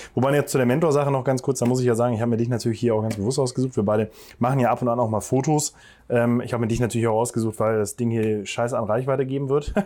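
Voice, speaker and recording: Over a silent background in a very clean recording, a man with a medium-pitched, dark, mellow tone speaks very fast with fairly even intonation. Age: 20s. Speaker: podcast host and gym co-owner. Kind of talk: casual interview. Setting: outdoors in a garden.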